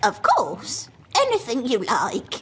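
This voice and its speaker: The voice sounds female and is pitched high. It is a cartoonish character voice. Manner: genteel, polite.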